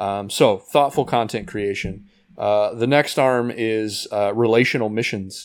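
An unremarkable speaking voice from a man with an American accent, medium pitch, fairly even intonation and a fairly slow pace, on a very clean recording with a silent background. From Indiana, US Midwest. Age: 30s. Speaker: ministry leader and former worship pastor. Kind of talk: casual interview.

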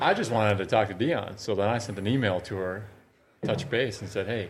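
A man talks at a fairly quick pace with an Upper Midwest accent. His pitch sits fairly low. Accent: Upper Midwest American. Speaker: women's basketball coach. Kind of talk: casual chat. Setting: studio.

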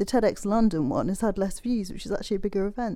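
In an English accent, a woman with a medium pitch and a dark, mellow tone talks at a very fast pace with fairly even intonation, on a very clean recording with a silent background. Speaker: designer and health advocate. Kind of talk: interview. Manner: clear enunciation.

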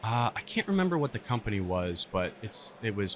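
A man with an American accent talks at a fairly quick pace. Background noise is noticeable. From Pennsylvania. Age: 20s. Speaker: arborist. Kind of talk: casual interview. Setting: trade show.

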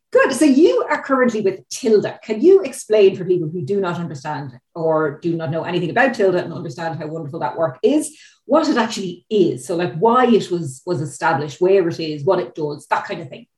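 A woman with an Irish accent, fairly low-pitched and somewhat breathy, with very wide pitch swings, big swings in loudness, a fairly quick pace and hardly any pauses. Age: 40s. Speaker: policy analyst, podcast host. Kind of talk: interview.

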